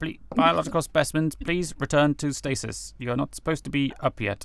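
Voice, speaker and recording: A man uses a robotic put-on character voice, fairly high in pitch and at a fairly quick pace. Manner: insistent, herding.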